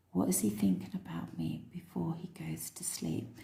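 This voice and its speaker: A woman whispers in a soft-spoken way. Her pace is fairly slow. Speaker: tarot reader. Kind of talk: tarot reading. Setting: room with windows open at night. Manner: whispering.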